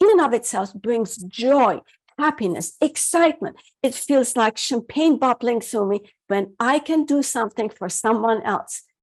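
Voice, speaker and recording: This woman's high voice moves with lively intonation at a fairly slow pace. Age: 60s. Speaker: happiness coach. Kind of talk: interview. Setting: radio show.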